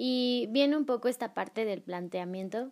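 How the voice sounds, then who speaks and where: A woman speaks at a fairly slow pace. She has an ordinary speaking voice with a fairly high pitch. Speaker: podcast host. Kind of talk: casual chat.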